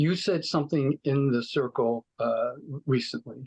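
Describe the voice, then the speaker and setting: Recorded with a dry, close sound and no echo, a man talks at a moderate pace and medium pitch. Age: 60s. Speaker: participant in recovery group. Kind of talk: personal sharing. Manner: halting, many fillers.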